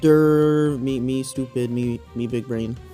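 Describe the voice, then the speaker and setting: Faint music plays in the background. A put-on character voice talks fairly slowly at a low-to-middle pitch. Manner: dim-witted.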